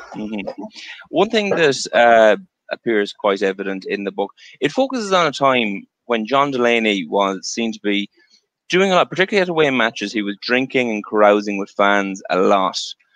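A man with an Irish accent, medium pitch, lively intonation and moderate pace, in a dry sound with no echo and a quiet background. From Ireland. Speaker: show host, interviewer. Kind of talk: casual interview. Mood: friendly, light banter.

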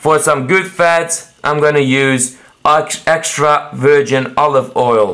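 Quiet surroundings behind a man's voice. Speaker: home cook vlogger. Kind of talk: casual vlog chat. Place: kitchen. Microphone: phone near.

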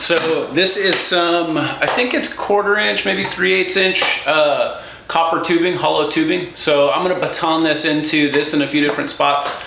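With light background noise and audible room echo, a man talks at a moderate pace with very even loudness and ordinary pitch variation. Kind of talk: tutorial. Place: workshop. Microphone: camera far.

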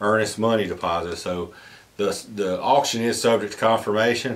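A man at a moderate pace, fairly low in pitch, with fairly even intonation. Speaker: auctioneer. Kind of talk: real estate auction announcement to camera. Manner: casual, conversational.

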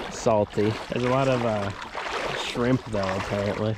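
The sound of this man's voice is dry with no echo, set against loud background noise. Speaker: travel vlogger. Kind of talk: casual vlog chat. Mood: relaxed, amused. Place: waterside. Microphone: phone near.

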